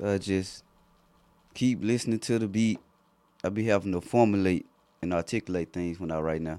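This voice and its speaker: A man with a Memphis accent, very deep and low in pitch, dark and mellow in tone, at a moderate pace with ordinary pitch variation and long, frequent pauses. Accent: authentic South Memphis flow. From South Memphis, Tennessee. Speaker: rap artist. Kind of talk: casual interview. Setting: recording studio.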